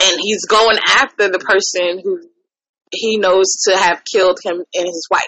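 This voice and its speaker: A woman's unremarkable speaking voice at medium pitch, fairly slow in pace, with fairly even intonation. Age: 30s. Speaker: podcast host. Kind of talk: casual chat.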